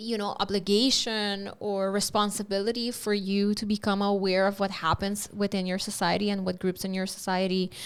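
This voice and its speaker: Speaking with an Aruban accent, a woman of medium pitch keeps a monotone, flat intonation at a moderate pace with hardly any pauses, in a very clean recording over a silent background. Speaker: podcast host. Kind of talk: interview conversation. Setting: podcast studio.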